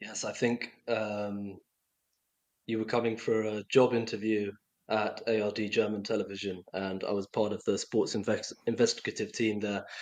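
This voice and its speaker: With a London accent, a man talks at a moderate pace, his fairly low pitch held in a flat, monotone line. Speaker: doping investigative journalist. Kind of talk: podcast interview.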